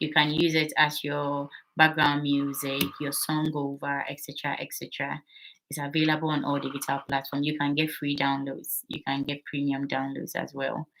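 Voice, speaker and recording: The speaker has a Ghanaian accent. The intonation is monotone and flat. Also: woman. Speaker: midwife and channel host. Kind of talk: live stream Q&A. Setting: live stream on TikTok.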